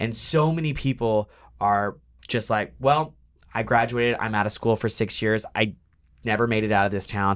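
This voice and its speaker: In a very clean recording with a silent background, a man with an American accent and an ordinary speaking voice talks at a moderate pace and medium pitch. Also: ordinary pitch variation. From rural Texas. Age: 20s. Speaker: dating show contestant. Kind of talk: casual chat. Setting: studio.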